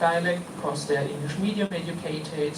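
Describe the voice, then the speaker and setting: The speaker has a German accent. Noticeable background noise runs through the clip. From Germany. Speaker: linguist, conference speaker. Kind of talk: conference talk.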